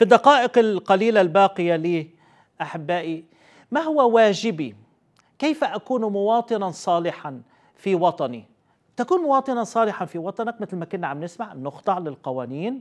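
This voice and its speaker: A man's high pitch with very wide pitch swings, at a moderate pace, against a quiet background. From Lebanon. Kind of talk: Bible teaching. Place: studio. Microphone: lapel.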